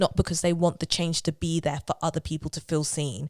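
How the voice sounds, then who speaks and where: A woman with a London accent speaks at a fairly quick pace in a very clean recording with a silent background. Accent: London street accent, road girl speech. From South London. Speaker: musical theatre actress. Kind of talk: podcast interview. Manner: animated.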